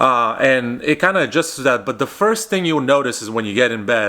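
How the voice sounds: A man's bright, sharp voice at a medium pitch, fairly quick in pace and lively in intonation.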